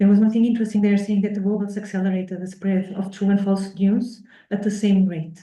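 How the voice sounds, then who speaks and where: A woman speaks very fast at a medium pitch in a somewhat breathy, dark and mellow tone, her intonation flat and monotone, with audible echo in the room. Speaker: researcher presenting at workshop. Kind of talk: academic talk with Q&A. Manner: hesitant, many fillers.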